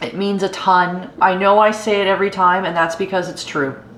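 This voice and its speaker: Medium pitch from a woman at a moderate pace, with audible room echo. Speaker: camping YouTuber. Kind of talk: casual vlog outro. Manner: halting, many fillers.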